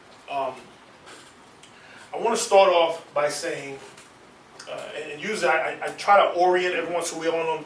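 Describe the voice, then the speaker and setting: Over noticeable background noise and audible room echo, a man with an American accent talks at a fairly quick pace in a fairly high pitch with fairly even intonation. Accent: DC dialect, comes out now and then. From Washington DC. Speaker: military science instructor. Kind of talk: seminar lecture.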